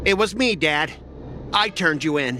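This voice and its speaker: Against clear background noise, a man does a put-on character voice at a fairly high pitch, with lively intonation at a moderate pace. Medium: video game.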